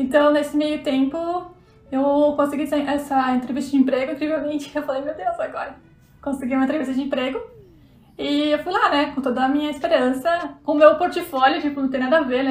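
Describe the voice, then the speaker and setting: The speech moves at a fairly quick clip with fairly even intonation. Audible room echo and noticeable background noise surround it. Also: woman, high pitch for a woman. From southern Brazil, Santa Catarina. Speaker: fashion illustrator. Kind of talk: casual interview chat.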